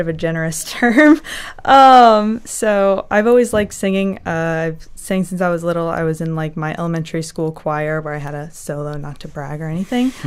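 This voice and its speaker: Talking at a fairly quick pace, a woman with a North Carolina accent uses lively intonation and big swings in loudness. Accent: American (North Carolina). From US South, North Carolina. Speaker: graduate student, science communication. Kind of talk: casual interview chat. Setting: studio.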